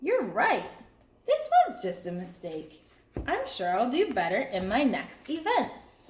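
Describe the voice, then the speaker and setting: A woman puts on a character voice, high-pitched, with very wide swings in pitch and a fairly slow pace. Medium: read story.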